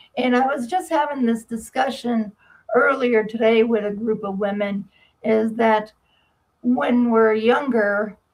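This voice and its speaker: With an American accent, a woman talks at a fairly slow pace, her fairly high pitch showing ordinary variation. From US Northeast, Massachusetts. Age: 60s. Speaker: medical debt specialist and author. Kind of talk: interview. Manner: halting.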